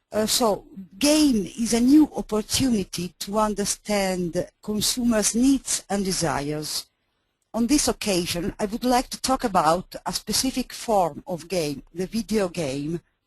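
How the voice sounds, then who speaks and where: A woman's somewhat breathy voice, lively in intonation, at a fairly slow pace. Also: medium pitch for a woman. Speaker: market researcher. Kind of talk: webinar presentation.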